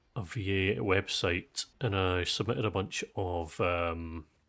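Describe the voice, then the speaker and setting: Very slowly, a man with a very deep, low voice speaks with ordinary pitch variation in a very clean recording with a silent background. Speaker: gaming streamer. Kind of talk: casual live-stream chat. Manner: halting, many fillers.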